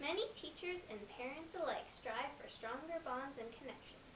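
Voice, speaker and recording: The voice belongs to a woman. There is noticeable noise in the background. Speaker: presenter. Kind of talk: informational presentation. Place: empty room. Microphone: camera far.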